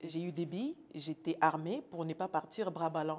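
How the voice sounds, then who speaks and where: Here is a woman with an ordinary speaking voice. She talks at a fairly slow pace and fairly low pitch. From France (Congolese roots). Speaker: nurse. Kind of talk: interview.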